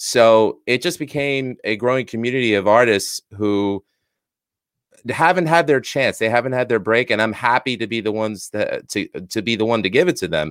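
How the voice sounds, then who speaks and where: The man's voice sits at a medium pitch with ordinary pitch variation. He speaks at a fairly quick pace, and the sound is dry and close with no echo. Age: 40s. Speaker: musician and podcaster. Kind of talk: interview. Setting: video call.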